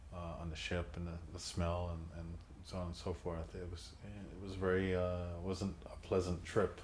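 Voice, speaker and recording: Amid noticeable background noise and audible room echo, a man with a very deep, low pitch talks at a moderate pace with fairly even intonation. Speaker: son of a labor leader, oral history interviewee. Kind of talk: oral history interview. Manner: halting, many fillers and repetitions.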